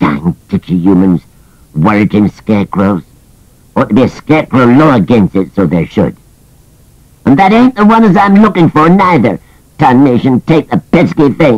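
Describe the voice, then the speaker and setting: A put-on character voice swings very widely in pitch. It moves at a moderate pace with long, frequent pauses. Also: man, medium pitch for a man. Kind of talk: comic character voice. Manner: grumbling, cantankerous.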